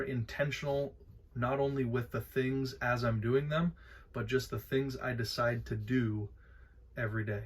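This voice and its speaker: The speech is somewhat breathy, fairly slow, and fairly even in intonation. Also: man. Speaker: vlogger. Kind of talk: casual vlog monologue. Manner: hesitant, many filler words.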